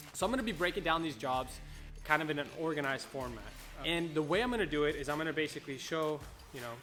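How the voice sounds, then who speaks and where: Over music in the background, a man talks at a very fast pace with a fairly high pitch. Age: 20s. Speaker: window tinting business owner. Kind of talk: tutorial. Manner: low energy.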